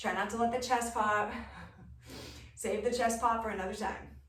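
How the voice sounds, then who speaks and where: An energetic tone amid audible room echo and noticeable background noise. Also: woman. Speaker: fitness instructor. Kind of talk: workout instruction. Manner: energetic, encouraging.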